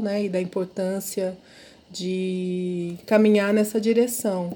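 A woman's voice comes across with a dark, mellow tone. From interior of São Paulo state, Brazil. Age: 50s. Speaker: professor. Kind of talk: interview.

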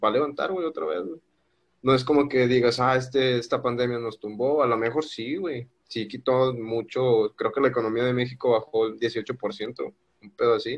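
In a northern Mexican accent, a man speaks at a moderate pace with medium pitch and ordinary pitch variation. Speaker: podcast guest. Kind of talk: casual chat.

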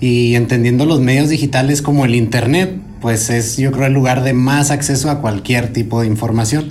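A man at medium pitch talks at a moderate pace with very even loudness, fairly even intonation and hardly any pauses. Noticeable background noise and audible room echo are present. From northern Mexico. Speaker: podcast host. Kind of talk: casual panel discussion.

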